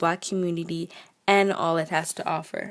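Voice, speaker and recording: Speaking at a moderate pace, a woman uses a fairly low pitch. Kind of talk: casual opinion talk to camera. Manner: mumbles, sometimes stumbles over words.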